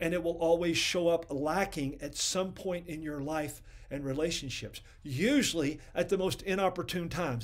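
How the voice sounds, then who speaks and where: Over a quiet background, a man speaks with ordinary pitch variation. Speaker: ministry program host. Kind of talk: sermon. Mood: earnest, occasionally playful. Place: home room.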